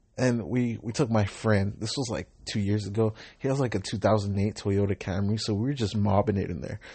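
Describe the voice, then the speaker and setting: A man with a Southern California accent speaks in a fairly low, somewhat breathy voice. He keeps a moderate pace and fairly even intonation. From Southern California, Long Beach. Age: 20s. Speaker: podcaster and rideshare driver. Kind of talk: casual monologue.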